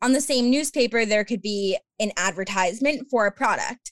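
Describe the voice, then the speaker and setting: A woman with an American accent speaks at a fairly quick pace in an unremarkable speaking voice, her fairly high pitch showing ordinary variation in a dry, close sound with no echo. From Long Island, New York. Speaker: podcaster and athletic communications graduate assistant. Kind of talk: casual interview chat.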